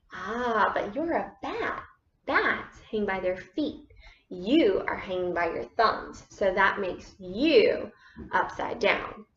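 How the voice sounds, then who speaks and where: This put-on character voice moves at a very slow pace. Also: woman, fairly high pitch for a woman. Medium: read story.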